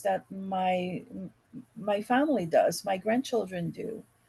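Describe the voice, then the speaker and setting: Very slowly, a woman with a Quebec accent speaks in a somewhat breathy voice with a dark, mellow tone. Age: 50s. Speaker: podcast guest, real estate investor. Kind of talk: casual chat.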